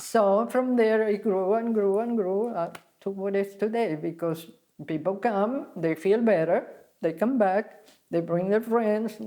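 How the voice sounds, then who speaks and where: In an Argentine accent, a woman speaks at a medium pitch. Her tone is dark and mellow, with ordinary pitch variation. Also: fairly slow pace. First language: Spanish. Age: 80s+. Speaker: spa founder, health teacher. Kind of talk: interview. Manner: halting.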